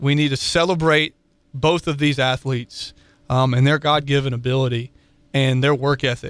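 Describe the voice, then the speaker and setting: A man at a fairly high pitch, monotone and flat, with very even loudness, a moderate pace, and a dry, close sound with no echo. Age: 20s. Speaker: sports radio co-host. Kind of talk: casual chat.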